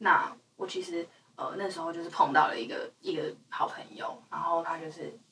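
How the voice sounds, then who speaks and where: A woman's loudness swings widely as she talks at a moderate pace against noticeable background noise. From Taiwan, Hualien. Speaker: singer-songwriter. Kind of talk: casual chat. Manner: halting with many fillers.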